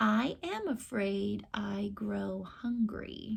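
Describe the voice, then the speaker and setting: A woman does a put-on character voice, speaking at a very slow pace. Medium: read story. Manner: grumbling, menacing.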